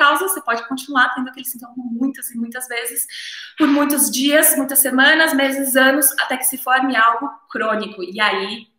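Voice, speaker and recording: A woman with a high pitch projects a raised voice at a moderate pace. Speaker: naturopathy teacher. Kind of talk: live stream lecture. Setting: live stream on camera.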